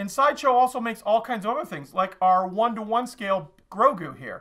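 A man with a bright, sharp tone uses a raised, projected voice at a fairly quick pace. Behind him the background is quiet. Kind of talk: casual product showcase vlog. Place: shop. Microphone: camera far.

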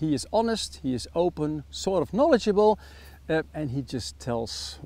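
This man speaks with a Dutch accent. His pace is fairly slow. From Netherlands. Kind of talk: product review.

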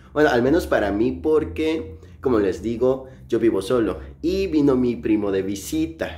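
A man talks at a fairly slow pace. His tone is dark and mellow. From Mexico, Chiapas. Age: 20s. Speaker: vlogger. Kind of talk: casual vlog narration. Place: home room. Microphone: phone near.

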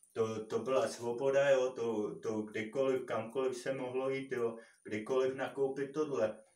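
Fairly even intonation from a man at a fairly slow pace, with audible room echo. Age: 30s. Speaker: YouTuber. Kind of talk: opinion monologue. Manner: halting, many fillers. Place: empty room. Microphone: camera far.

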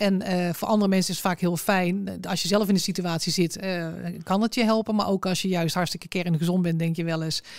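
A woman's medium-pitched voice, fairly quick and monotone with flat intonation, on a very clean recording with a silent background. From North Brabant, southern Netherlands (Berkel-Enschot, Tilburg). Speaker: amputee and accessibility advocate. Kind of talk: interview conversation. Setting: studio.

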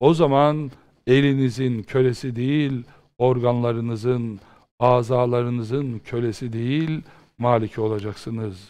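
Against a quiet background, a man with a dark, mellow, medium-pitched voice talks at a fairly slow pace with fairly even intonation. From Turkey. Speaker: Islamic preacher and teacher; religious teacher. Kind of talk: religious lecture. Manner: impassioned, rhetorical. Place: studio.

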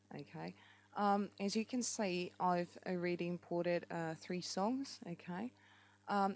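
A woman with a strong New Zealand accent speaks at a medium pitch and fairly slow pace with fairly even intonation, in a very clean recording with a silent background. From France. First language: French. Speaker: app tutorial maker and amateur musician. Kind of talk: tutorial. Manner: hesitant, many fillers.

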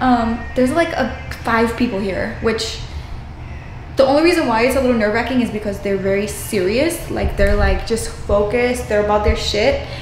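There is audible room echo and light background noise as a woman talks at a moderate pace with ordinary pitch variation. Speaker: fitness vlogger. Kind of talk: casual vlog chat. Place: bathroom. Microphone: phone near.

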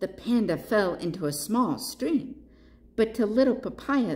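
The clip is reading aloud in a natural voice. The voice reads the text through.

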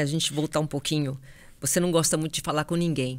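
A woman's voice, very deep and low in pitch. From Brazil. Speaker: sports journalist and podcast host; sports journalist, podcast host. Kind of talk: interview. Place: studio. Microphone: studio mic.

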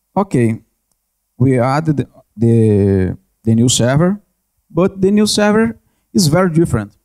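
A dark, mellow tone in a Brazilian accent, fairly slow with long, frequent pauses and very wide pitch swings, over a quiet background. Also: man. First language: Portuguese. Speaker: network analyst, conference speaker. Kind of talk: conference presentation with Q&A. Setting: conference stage with audience. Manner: halting, hesitant with repetitions. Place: hall. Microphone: handheld.

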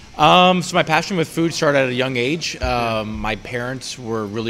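Light background noise sits behind a man talking at a fairly quick pace. His pitch variation is ordinary. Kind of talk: interview answer. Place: cafe.

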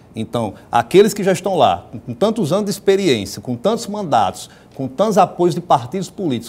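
Moving at a fairly quick pace, a man with vocal fry makes very wide pitch swings. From Rio Grande do Norte, Brazil (rural, Mossoró area); Rio Grande do Norte, Brazil. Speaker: state politician; guest. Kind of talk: TV interview. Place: studio. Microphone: lapel.

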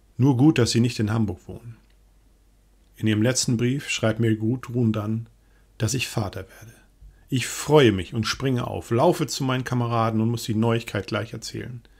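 A man with a medium pitch sounds somewhat breathy, his intonation fairly even. He leaves long, frequent pauses on a very clean recording with a silent background. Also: moderate pace, big swings in loudness. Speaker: diary reader narrator. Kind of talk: reading aloud a wartime diary in first person. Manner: sober, measured, grave.

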